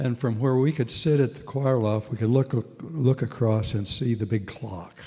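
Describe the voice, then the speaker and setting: A man with an American accent speaks at a moderate pace in a medium-pitched, somewhat breathy voice with a dark, mellow tone. His pitch varies in an ordinary way, while his loudness swings widely. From Nebraska, Minden. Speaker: retired pastor. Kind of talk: personal testimony at a panel.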